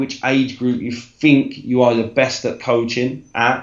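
Fairly even intonation in a London accent comes through with audible room echo. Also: man. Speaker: football coach. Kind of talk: casual interview chat.

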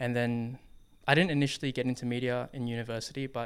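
In an Australian accent, a man talks at a medium pitch with monotone, flat intonation. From Western Sydney, Australia. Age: 20s. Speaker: filmmaker and breakdancer. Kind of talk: interview. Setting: studio. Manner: casual, many filler words.

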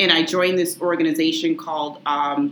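Fairly low in pitch and fairly even in intonation, a woman with an American accent speaks over noticeable background noise. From Massachusetts, Lynn (Boston area). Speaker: attorney and business owner. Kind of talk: interview.

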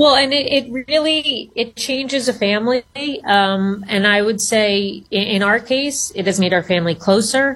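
A normal speaking voice from a woman, fairly high-pitched, with ordinary pitch variation at a moderate pace. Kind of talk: radio interview. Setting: remote call.

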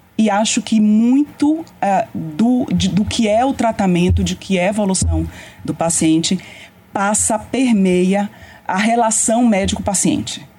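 With music in the background, a woman speaks at a medium pitch. Her intonation is lively and her loudness very even. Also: fairly slow pace. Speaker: radiation oncologist. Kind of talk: interview.

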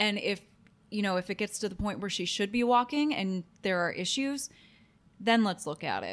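A woman speaks at a moderate pace and a medium pitch on a very clean recording with a silent background. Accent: Midwestern American. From Ohio, US Midwest. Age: 30s. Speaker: podcast co-host. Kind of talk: casual chat.

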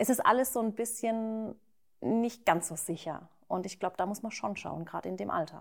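Silent background and very clean recording, with a normal speaking voice at a moderate pace and ordinary pitch variation. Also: woman, fairly high pitch for a woman. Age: 30s. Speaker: YouTuber and mother of two. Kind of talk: casual chat. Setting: at her home, not a studio.

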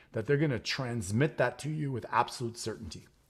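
Somewhat breathy and fairly quick, the voice shows ordinary pitch variation in a very clean recording with a silent background. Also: man. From Quebec (Montreal). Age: 50s. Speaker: entrepreneur and real estate investor. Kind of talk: interview.

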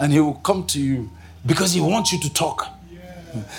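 A man talks with a Nigerian accent. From northern Nigeria, Kaduna. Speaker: pastor. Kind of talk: sermon. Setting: stage with audience. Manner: animated.

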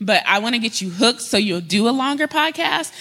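Speaking with an American accent, the voice has a bright, sharp tone and very wide pitch swings. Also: woman. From US Mountain West. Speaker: podcast directory founder, panel moderator. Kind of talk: conference panel discussion. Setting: stage with audience.

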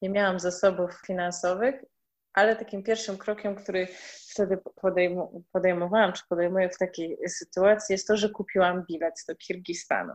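A woman's medium-pitched, monotone voice at a moderate pace, with big swings in loudness against a quiet background. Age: 30s. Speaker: permaculture gardener. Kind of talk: casual interview.

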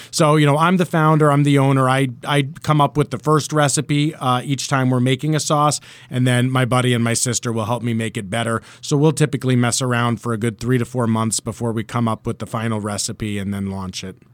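A man's medium-pitched voice, with ordinary pitch variation, moves at a fairly quick clip. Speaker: hot sauce business owner. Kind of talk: interview. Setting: radio studio. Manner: salesman-like.

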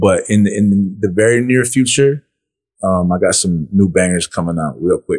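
At a moderate pace, a man talks at a fairly low pitch with ordinary pitch variation, in a dry, close sound with no echo. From Saskatchewan, Canada (Plains Cree and Anishinaabe). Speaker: rapper. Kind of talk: casual interview chat. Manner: laid back.

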